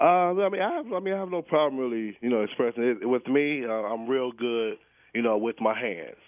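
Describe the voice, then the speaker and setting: A man talks at a fairly quick pace with a medium pitch and lively intonation. It is a plain, everyday voice. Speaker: caller. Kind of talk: casual chat. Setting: phone call.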